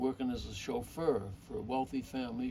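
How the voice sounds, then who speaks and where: A man with a medium pitch speaks at a moderate pace over noticeable background noise. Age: 80s+. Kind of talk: telling family stories, interview answer.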